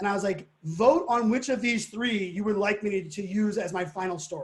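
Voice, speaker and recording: Delivered at a fairly quick pace, a man's high-pitched voice has an animated tone and ordinary pitch variation. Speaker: digital futurist and keynote speaker. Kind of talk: live webinar conversation. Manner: fast.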